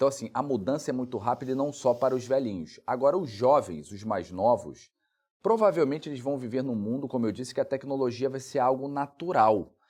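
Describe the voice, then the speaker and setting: Against a quiet background, a man with an unremarkable speaking voice talks fairly quickly at a medium pitch with ordinary pitch variation. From Brazil, Rondônia. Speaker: lawyer and legal researcher. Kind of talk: interview.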